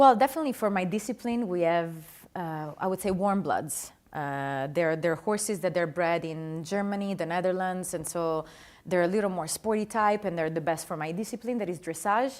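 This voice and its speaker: With a slight Italian accent, the speaker keeps a moderate pace and ordinary pitch variation. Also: woman, medium pitch for a woman, very clean recording, silent background. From Italy, Adriatic east coast. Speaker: dressage rider. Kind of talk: interview. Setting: studio with live audience.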